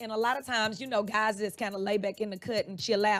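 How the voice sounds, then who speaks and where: Captured on a very clean recording with a silent background, a woman with a fairly high pitch speaks in an animated tone. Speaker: fitness instructor. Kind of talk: radio interview.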